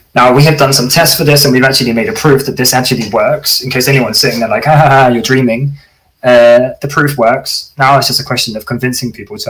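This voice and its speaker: A man's medium-pitched voice at a very fast pace, with ordinary pitch variation and hardly any pauses. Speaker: security conference speaker. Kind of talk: technical talk.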